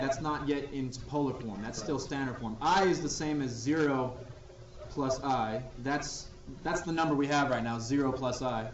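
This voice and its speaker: A man with fairly high pitch speaks at a moderate pace with ordinary pitch variation. Noticeable background noise and audible room echo fill the recording. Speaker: math teacher. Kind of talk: classroom lecture.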